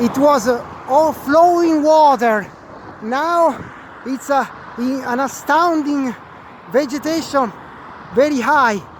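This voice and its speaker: A man with an extremely high pitch speaks at a very slow pace, with ordinary pitch variation, long and frequent pauses, and noticeable background noise. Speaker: video blogger. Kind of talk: walking vlog reportage. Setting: outdoors on a bridge. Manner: loud; halting.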